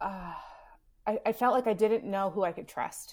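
A woman with an American accent and fairly even intonation on a very clean recording with a silent background. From US South, Houston, Texas. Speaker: author. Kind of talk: casual chat.

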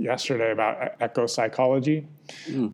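This is a normal speaking voice at a moderate pace. Its intonation stays fairly even. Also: man. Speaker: podcast co-host. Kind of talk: casual chat. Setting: outdoors.

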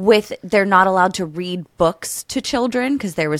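A woman's fairly low voice, an unremarkable speaking voice with ordinary pitch variation, in a very clean recording with a silent background. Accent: American. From Pennsylvania, US. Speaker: podcast guest. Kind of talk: casual chat.

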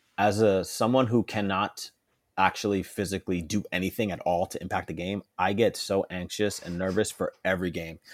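A plain, everyday voice, fairly even in intonation, moves at a fairly quick pace on a very clean recording with a silent background. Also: man, fairly low pitch for a man. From northern New Jersey (Englewood), Puerto Rican parents. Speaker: former pro soccer player, sports executive. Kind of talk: interview.

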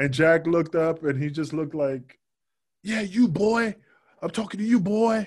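A man's high voice, lively in intonation, at a moderate tempo. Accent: New York. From New York, Queens. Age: 40s. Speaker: former pro wrestler. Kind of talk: casual interview.

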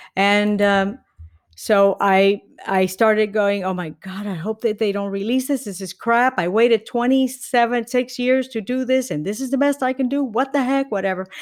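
This woman talks at a moderate pace in a Spanish accent, her fairly high voice showing ordinary pitch variation. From Puerto Rico. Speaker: comedian and former engineer. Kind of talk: interview.

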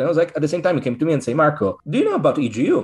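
In an Italian accent, a man speaks with very wide pitch swings. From Italy (Rome). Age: 40s. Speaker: occultist author and order coordinator. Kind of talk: interview. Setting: video call.

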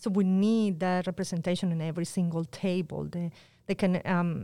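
A woman with a Spanish accent, fairly low in pitch, with fairly even intonation, on a very clean recording with a silent background. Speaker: public health outreach worker. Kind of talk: interview.

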